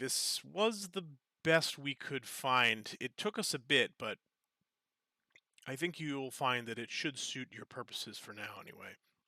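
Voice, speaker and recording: A man's put-on character voice, raspy and fairly high-pitched, with big swings in loudness, a moderate pace and a dry, close sound with no echo. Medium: actual play. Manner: courteous, helpful.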